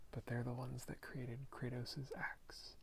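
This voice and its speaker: A soft-spoken man talks with vocal fry. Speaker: ASMR creator. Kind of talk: ASMR soft-spoken show-and-tell.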